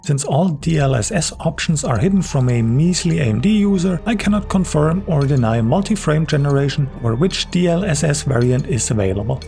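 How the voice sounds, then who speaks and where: Music plays behind a speaker with a non-native accent and lively intonation. The pace is fairly quick, the loudness very even, and there are hardly any pauses. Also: man, fairly high pitch for a man. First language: German. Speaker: PC gaming video creator. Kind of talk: scripted narration.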